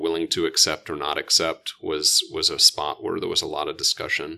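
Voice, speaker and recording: A man talks at a moderate pace in an American accent. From Oklahoma (Edmond). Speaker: pediatric intensive care physician. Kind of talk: casual interview.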